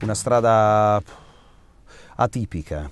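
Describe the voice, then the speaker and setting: The recording is dry, with no echo. A man speaks with ordinary pitch variation. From Abruzzo, Italy. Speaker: voice actor. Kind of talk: interview answer. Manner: direct, caustic. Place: studio.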